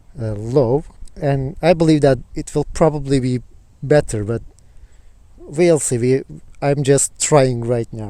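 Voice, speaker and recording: A man with a Turkish accent talks fairly slowly at a fairly high pitch, with ordinary pitch variation. His loudness swings widely, and he takes long, frequent pauses. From Turkey, Izmir. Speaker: student and video blogger. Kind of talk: casual talk to camera; reading aloud. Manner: hesitant, with fillers.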